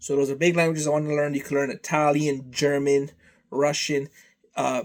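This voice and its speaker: A man speaks at a fairly quick pace in a flat, monotone delivery, his pitch fairly high for a man. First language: Serbian. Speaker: vlogger. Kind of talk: casual monologue. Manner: rambling, repetitive.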